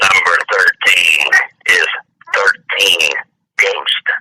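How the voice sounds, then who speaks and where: In a put-on character voice, a man speaks extremely high in pitch at a very slow pace. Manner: creepy.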